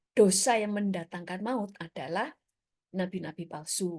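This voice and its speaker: A woman with a Surabaya accent, medium in pitch, dark and mellow in tone, at a moderate pace. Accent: Surabaya accent, noticeable. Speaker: preacher. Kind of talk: sermon. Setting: church service streamed on Zoom and YouTube. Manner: casual, conversational.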